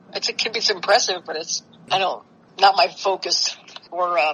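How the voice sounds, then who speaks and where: Noticeable background noise accompanies this recording. A woman with a medium pitch speaks at a fairly quick pace. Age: 60s. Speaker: jazz drummer and bandleader. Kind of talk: interview.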